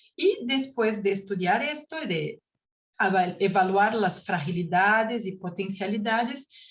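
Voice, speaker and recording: This woman speaks at a fairly slow pace with a Brazilian accent. Her voice is somewhat breathy, at a medium pitch with ordinary pitch variation. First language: Portuguese (speaking Spanish). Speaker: researcher, panel speaker. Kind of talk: conference presentation. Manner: halting, with self-corrections.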